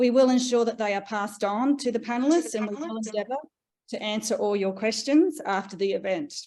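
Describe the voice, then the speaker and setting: Over a quiet background, a woman with an Australian accent speaks at a fairly quick pace in a fairly high pitch with ordinary pitch variation. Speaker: research leader and panel moderator. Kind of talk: panel moderation and presentation. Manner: hesitant, many fillers.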